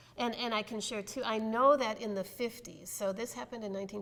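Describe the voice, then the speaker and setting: A woman with an American accent talks at a very fast pace. There is noticeable background noise. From US Midwest, southern Wisconsin. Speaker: pastor. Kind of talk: interview. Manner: halting.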